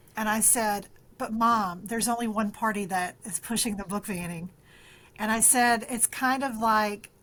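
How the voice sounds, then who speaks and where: A woman with a Southern US accent speaks at a fairly high pitch with fairly even intonation. The recording is very clean, with a silent background. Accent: country twang, Southern. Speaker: librarian and author. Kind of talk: interview. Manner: halting, many fillers and restarts.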